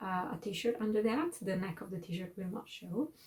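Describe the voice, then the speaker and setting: A woman speaks with an Italian accent in a dark, mellow, somewhat breathy tone. Her pitch varies in an ordinary way. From Italy. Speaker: knitting vlogger and designer. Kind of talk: casual monthly video chat. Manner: halting, many fillers.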